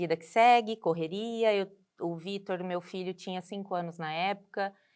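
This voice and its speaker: On a very clean recording with a silent background, a woman speaks in a medium pitch with fairly even intonation. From Manaus, Brazil; long years in São Paulo interior. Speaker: cardiologist, breast cancer survivor. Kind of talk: personal testimony in interview.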